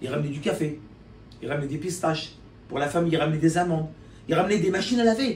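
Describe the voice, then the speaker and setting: A man's high-pitched, animated voice at a very fast pace, with ordinary pitch variation and audible room echo. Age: 50s. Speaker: importer and promoter of Algerian products. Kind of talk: casual talk to camera.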